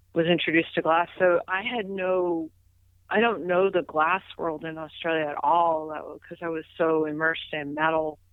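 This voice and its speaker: This speaker, with an American accent, keeps a moderate pace and fairly even intonation while the loudness swings widely. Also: woman, fairly low pitch for a woman. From US Northeast, Philadelphia. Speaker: metal and glass artist. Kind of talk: casual interview chat.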